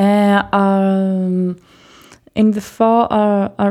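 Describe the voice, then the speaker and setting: Very slowly, a woman with a Swedish accent speaks in a dark, mellow tone. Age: 20s. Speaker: teacher and roller derby player. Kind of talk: casual interview. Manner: halting.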